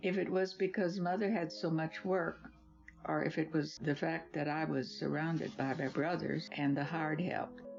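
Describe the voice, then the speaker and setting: The voice has lively intonation at a moderate pace. Music plays in the background. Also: woman. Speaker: grandmother. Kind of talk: reading aloud her own life essay.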